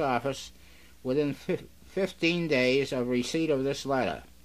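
A normal speaking voice from a man with an American accent, fairly high in pitch and fairly even in intonation. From Massachusetts, USA. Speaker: radio station owner and operator. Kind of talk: radio broadcast announcement. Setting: radio station, recorded off-air from a broadcast. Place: studio. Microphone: old recording.

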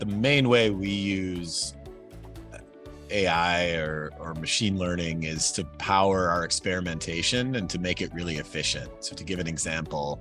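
A man's very deep, low voice at a moderate pace, dry with no echo, over clear music in the background. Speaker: guest. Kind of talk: interview answer. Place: office. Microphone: video call.

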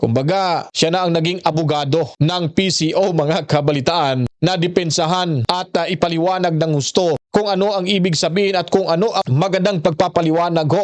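A man with a high pitch speaks with hardly any pauses, very even loudness and fairly even intonation. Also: moderate pace. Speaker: news reaction video host. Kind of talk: news commentary.

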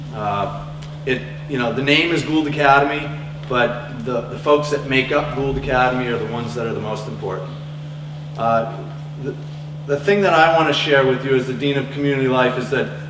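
A man speaks fairly quickly and with fairly even intonation while noticeable background noise plays behind him. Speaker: school dean on a panel. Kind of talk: panel presentation to parents. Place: hall.

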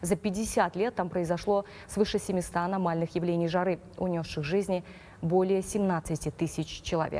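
A dark, mellow tone at a fairly slow pace with fairly even intonation. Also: woman, fairly low pitch for a woman. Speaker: news anchor. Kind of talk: news reading. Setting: studio.

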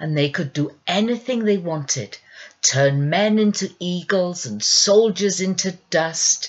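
A natural voice, reading aloud.

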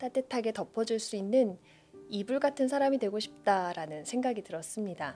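A woman's fairly high voice with lively intonation at a moderate pace, faint music in the background. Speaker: poetry reader, booktuber. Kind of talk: casual talk to listeners between poems. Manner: soft, calm. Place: studio. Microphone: studio mic.

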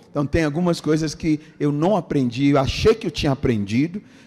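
A dark, mellow male voice over a quiet background. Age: 50s. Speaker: pastor. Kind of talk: sermon. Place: church. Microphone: handheld.

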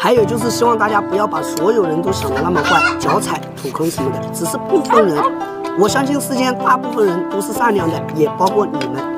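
Fairly quick speech, dry with no echo, over loud music in the background. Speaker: food vlogger promoting his chili sauce. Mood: friendly, earnest. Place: garden.

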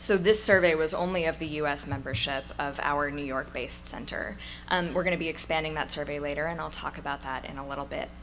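Over light background noise, a woman with a very deep, low pitch talks at a very fast pace. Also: ordinary pitch variation. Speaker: speaker. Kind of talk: conference talk. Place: hall. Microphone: podium.

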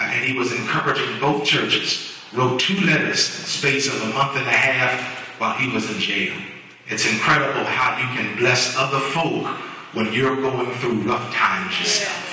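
Strong room echo surrounds a man speaking at a moderate pace with fairly even intonation. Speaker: preacher. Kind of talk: sermon. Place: church. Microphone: camera far.

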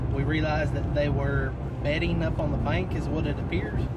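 Loud background noise fills the recording. Through it, a man speaks at a moderate pace. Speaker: fishing vlogger. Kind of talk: casual vlog chat. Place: car. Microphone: phone near.

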